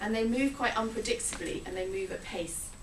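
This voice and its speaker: Audible room echo and noticeable background noise around a woman speaking. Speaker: publishing executive giving a conference talk. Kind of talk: conference presentation. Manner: fast.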